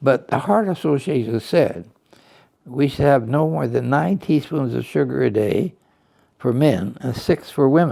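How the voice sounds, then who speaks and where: Using a dark, mellow tone with vocal fry, a man speaks at medium pitch and a moderate pace, his pitch swinging very widely. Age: 80s+. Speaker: nutrition professor. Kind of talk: interview answer.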